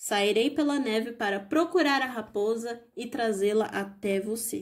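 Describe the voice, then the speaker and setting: A normal speaking voice from a woman, fairly high in pitch, with ordinary pitch variation and a fairly slow pace. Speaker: audiobook narrator. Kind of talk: bedtime story reading aloud. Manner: calm, gentle, storytelling pace; expressive, changes tone for characters.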